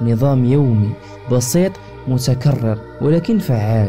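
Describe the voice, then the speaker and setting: Background music under a man's speech, its pitch varying in an ordinary way. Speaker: book summary narrator. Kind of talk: book summary narration. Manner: calm.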